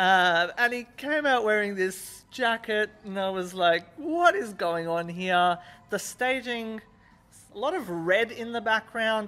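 A man talks in a raised, projected voice with a bright, sharp tone. He goes at a fairly slow pace. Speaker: music reviewer. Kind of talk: review commentary chat. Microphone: handheld.

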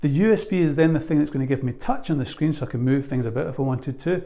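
Fast and with vocal fry, a man speaks at a fairly high pitch in a dark, mellow tone with ordinary pitch variation.

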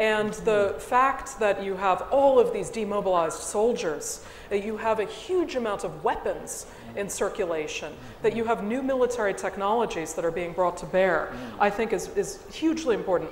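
A woman with an American accent speaks at a moderate pace and a fairly high pitch with lively intonation, with light background noise and audible room echo. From United States. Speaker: history professor. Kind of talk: panel discussion. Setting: stage with audience. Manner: articulate, formal. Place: stage. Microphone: lapel.

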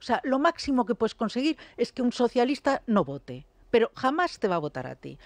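A woman's high, fairly quick voice with very wide pitch swings and big swings in loudness, dry and close with no echo, over a quiet background. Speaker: political commentator. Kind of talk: radio talk show debate.

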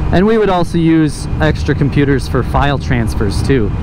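There is loud background noise, and the sound is dry with no echo. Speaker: motovlogger. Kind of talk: casual vlog chat. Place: motorbike. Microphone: helmet.

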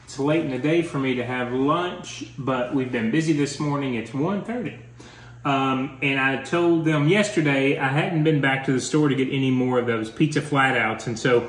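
Audible room echo surrounds the voice. The pitch varies in an ordinary way. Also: man, moderate pace. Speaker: couple vlogger. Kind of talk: casual vlog chat. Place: home room. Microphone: phone near.

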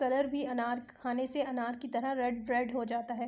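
A woman is speaking. Her voice is high in pitch. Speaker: cooking video creator. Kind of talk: cooking tutorial.

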